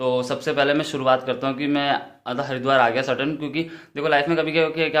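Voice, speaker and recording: Delivered at a fairly quick pace, the speech is monotone, with flat intonation. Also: man. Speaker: vlogger. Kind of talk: casual vlog chat. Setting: at a relative's home, kitchen and drawing room.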